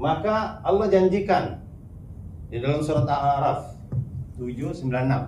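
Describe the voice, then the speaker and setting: Amid noticeable background noise and audible room echo, a man speaks with long, frequent pauses. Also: moderate pace. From South Sulawesi, Bugis. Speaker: Islamic preacher and speaker. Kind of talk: religious talk with Q&A.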